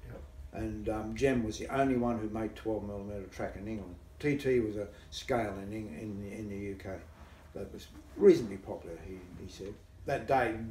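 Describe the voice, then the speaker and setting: Somewhat breathy man, fairly low in pitch with ordinary pitch variation, moderate pace, big swings in loudness, audible room echo and light background noise. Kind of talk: interview answer. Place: home room. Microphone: camera far.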